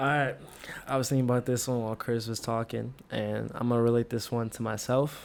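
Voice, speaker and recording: A man speaks at a medium pitch in a normal speaking voice. His pace is fairly quick. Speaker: podcast co-host, college student. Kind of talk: casual chat.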